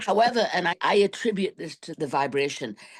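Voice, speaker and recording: Lively intonation marks a woman's talk, delivered at a moderate pace in an ordinary speaking voice. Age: 60s. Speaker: class member sharing weight loss story. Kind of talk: casual chat.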